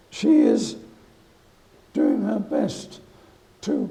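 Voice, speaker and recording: A man's voice with audible room echo. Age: 80s+. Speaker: war veteran. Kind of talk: lecture.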